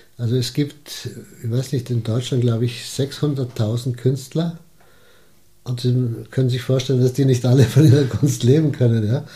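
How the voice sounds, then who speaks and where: Somewhat breathy and dark, mellow in tone, a man at medium pitch speaks at a moderate pace with monotone, flat intonation. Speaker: retired advertising executive and gallery founder. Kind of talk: interview.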